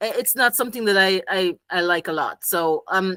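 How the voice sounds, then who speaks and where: A woman with a Jamaican accent speaks at a medium pitch and a moderate pace, with ordinary pitch variation. Her tone is bright and sharp, and the sound is dry and close with no echo. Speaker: psychology professional, game designer. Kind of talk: casual interview chat.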